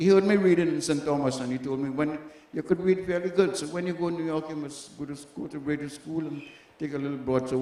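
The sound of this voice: A fairly high-pitched man with a Caribbean accent at a very fast pace, fairly even intonation, and noticeable background noise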